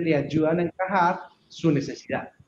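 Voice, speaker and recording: Fairly high-pitched male voice with an Antioquian accent. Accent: Colombian paisa (Antioquia) Spanish. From Colombia, Antioquia (Urrao). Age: 30s. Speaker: IT company general manager. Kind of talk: podcast interview.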